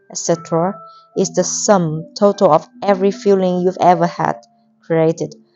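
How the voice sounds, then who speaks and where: A woman's medium-pitched voice at a fairly slow pace, with music in the background. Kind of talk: audiobook reading.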